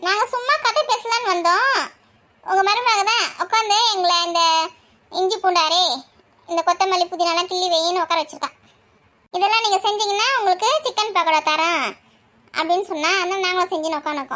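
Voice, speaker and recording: A woman uses a put-on character voice at an extremely high pitch. She keeps a moderate pace with ordinary pitch variation. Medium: comedy sketch. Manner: chatty, gossipy.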